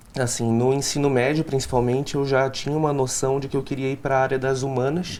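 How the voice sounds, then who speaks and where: Speaking with a Recife accent, a man of medium pitch goes at a fairly quick pace with hardly any pauses and a monotone, flat intonation. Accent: Recife accent, retained. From Recife, Pernambuco, Brazil. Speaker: law student. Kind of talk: interview. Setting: studio.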